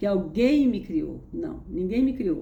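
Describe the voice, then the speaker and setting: With lively intonation and a somewhat breathy voice, a woman speaks at a very slow pace amid audible room echo. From Brazil, interior of Pernambuco. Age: 70s. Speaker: spiritual content creator. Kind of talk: personal testimony. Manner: conversational, halting with repetitions.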